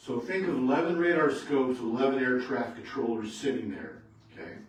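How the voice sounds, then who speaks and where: A loud man with a fairly high pitch and lively intonation speaks amid noticeable background noise and audible room echo. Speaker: retired air traffic controller giving a talk. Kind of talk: public talk to local society. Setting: meeting room with audience.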